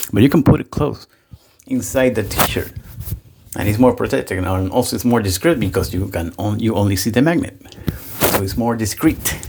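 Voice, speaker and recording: Amid noticeable background noise, a man with a fairly low voice talks with lively intonation and long, frequent pauses. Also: moderate pace. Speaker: wet shaving youtuber. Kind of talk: casual product review. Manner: loud.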